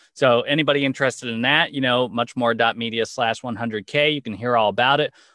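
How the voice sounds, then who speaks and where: Talking at a fairly quick pace, a man uses a medium pitch and fairly even intonation. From Los Angeles, US. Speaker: video content marketer, former actor. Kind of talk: interview.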